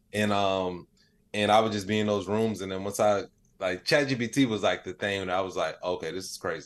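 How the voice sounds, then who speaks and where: A man talks at a moderate pace in a normal speaking voice, his pitch fairly low. His intonation is fairly even, and the background is quiet. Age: 30s. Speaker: AI expert and comedian. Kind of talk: interview. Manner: casual, many filler words.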